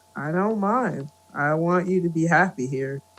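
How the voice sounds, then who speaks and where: A man puts on a gruff, high-pitched character voice at a moderate pace, with faint music in the background. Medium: read story. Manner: gruff, awkward, hesitant.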